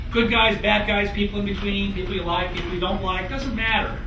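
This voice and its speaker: With an American accent, a man speaks amid audible room echo and noticeable background noise. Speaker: author and think-tank scholar. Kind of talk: lecture. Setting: evening talk to student audience. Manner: casual, with many fillers. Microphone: no microphone.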